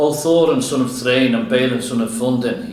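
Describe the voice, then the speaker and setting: Putting on a croaky character voice, a man speaks at a moderate pace and medium pitch, with a clear echo around him. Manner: stiff, formal address.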